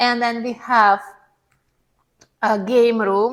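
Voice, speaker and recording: A woman's high-pitched voice at a very slow pace, with a non-native accent. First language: not English. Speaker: seminar speaker. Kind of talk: testimony with slide presentation.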